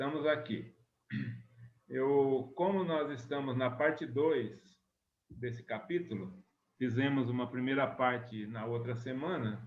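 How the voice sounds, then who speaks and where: A soft-spoken man talks at a medium pitch with ordinary rises and falls, very slowly. Long pauses come often, and the room echo is audible. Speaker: spiritist study group leader. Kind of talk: study group lecture.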